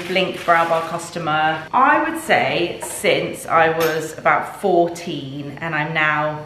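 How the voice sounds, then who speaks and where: Speaking very slowly at a fairly low pitch with fairly even intonation, a woman is heard with audible room echo and light background noise. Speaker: lifestyle vlogger. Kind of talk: casual vlog chat. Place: kitchen.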